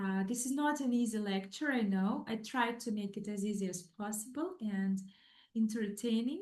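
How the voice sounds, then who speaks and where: A woman with a non-native accent and a somewhat breathy, fairly high voice speaks at a moderate pace with ordinary pitch variation, with audible room echo. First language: not English. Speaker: psychologist. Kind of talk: lecture. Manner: halting, many fillers.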